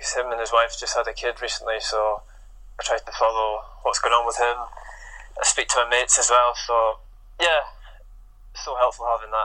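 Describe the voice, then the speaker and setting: Medium tempo from a man, broken by long, frequent pauses. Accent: Scottish Highland. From Scotland, Inverness. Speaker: professional footballer. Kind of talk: interview.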